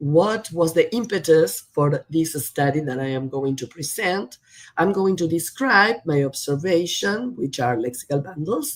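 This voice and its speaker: In a Spanish accent, a woman speaks with a fairly low pitch and lively intonation. Her pace is fairly slow. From Argentina, Buenos Aires. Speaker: professor. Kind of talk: lecture. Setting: video call.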